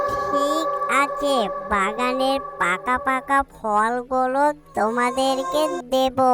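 A woman uses a cartoonish character voice with a high pitch. She speaks at a very slow pace over clear music in the background. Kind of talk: kids' cartoon voice acting. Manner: gentle, reassuring.

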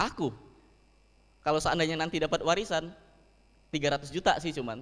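A man speaks with an animated tone. His pitch is fairly high. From Palembang, South Sumatra, Indonesia. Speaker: stand-up comedian. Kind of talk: stand-up comedy set with audience. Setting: live event with audience. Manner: animated, conversational, punchline-driven, with rhetorical tag questions like 'kan?'. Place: hall. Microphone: handheld.

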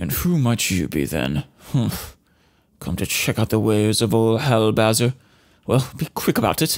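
Putting on a gruff character voice, a man speaks at medium pitch with very wide pitch swings. He keeps a moderate pace with long, frequent pauses. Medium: game stream. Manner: gruff, impatient.

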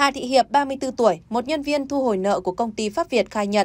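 A woman's plain, everyday voice, fairly high in pitch, with lively intonation. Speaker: news anchor. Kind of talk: news reading.

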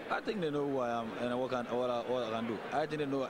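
A man at a moderate pace, with a dry sound with no echo and loud background noise. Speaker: interviewee. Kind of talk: interview answer. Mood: confident, calm. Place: hall. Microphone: handheld.

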